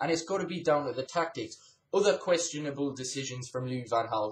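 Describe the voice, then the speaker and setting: Somewhat breathy and at a fairly quick pace, a man speaks with an English accent and ordinary pitch variation. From England. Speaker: gaming YouTuber and football fan. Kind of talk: angry rant. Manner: indignant, ranting, emphatic. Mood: frustrated, critical. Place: home room. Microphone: webcam.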